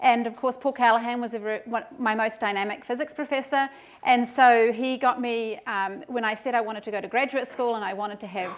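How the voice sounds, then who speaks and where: A woman with a New Zealand accent talks at a fairly quick pace with hardly any pauses, her pitch fairly high. Her intonation is fairly even and the background is quiet. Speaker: professor. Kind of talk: lecture. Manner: hesitant with fillers.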